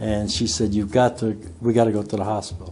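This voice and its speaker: Fairly quick speech over music in the background. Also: man. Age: 60s. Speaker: heart attack survivor. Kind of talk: testimony.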